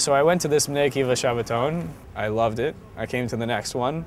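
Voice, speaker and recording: A man's medium-pitched voice with an American accent, at a moderate pace with ordinary pitch variation, over noticeable background noise. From US Midwest, Chicago (Skokie). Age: 20s. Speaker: youth program counselor. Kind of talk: personal testimony. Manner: halting, many fillers.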